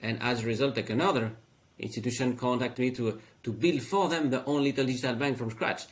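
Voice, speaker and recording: A man talks at a very fast pace and medium pitch. His pitch variation is ordinary. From France. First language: French. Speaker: fintech founder. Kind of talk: interview. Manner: halting, many fillers.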